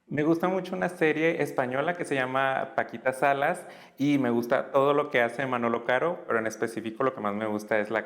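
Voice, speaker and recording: A man with an unremarkable speaking voice, medium pitch, ordinary pitch variation and a fairly quick pace. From Tamaulipas, Mexico. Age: 30s. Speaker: former community educator. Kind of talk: interview.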